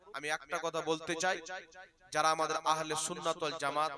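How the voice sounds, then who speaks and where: A man with a fairly high voice talks while noticeable noise runs in the background. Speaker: Islamic preacher. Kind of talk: sermon.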